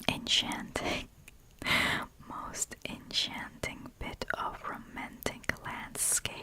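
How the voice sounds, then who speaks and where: A woman whispers very slowly while noticeable noise fills the background. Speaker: ASMR creator. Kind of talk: ASMR book reading. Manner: soft-spoken, whispered.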